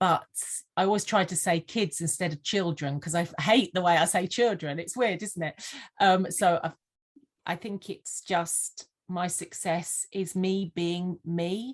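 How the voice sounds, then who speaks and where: In a slight Sussex accent, a woman speaks at a fairly slow pace with fairly even intonation against a quiet background. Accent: slight Sussex twang. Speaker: vision board mentor. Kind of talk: interview. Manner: halting, many fillers.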